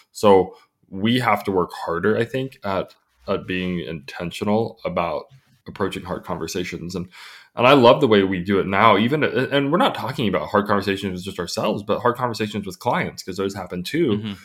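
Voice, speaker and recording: Delivered at a fairly quick pace, this is a plain, everyday voice with ordinary pitch variation. The recording is very clean, with a silent background. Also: man, fairly low pitch for a man. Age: 40s. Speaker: podcast co-host, agency employee. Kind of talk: casual chat.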